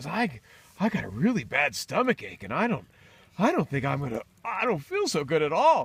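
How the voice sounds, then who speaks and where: A man's put-on character voice, high-pitched, at a moderate pace, on a very clean recording with a silent background. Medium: read story. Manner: stammering, flustered.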